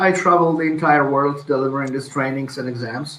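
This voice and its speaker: A man speaks with a Polish accent. Audible room echo surrounds his voice. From Poland. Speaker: IT instructor. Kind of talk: interview.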